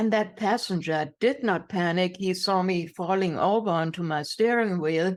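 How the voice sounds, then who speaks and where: A woman with a German accent, medium pitch, ordinary pitch variation, a moderate pace and very even loudness, in a very clean recording with a silent background. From Germany. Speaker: inspirational speaker. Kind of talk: interview testimony.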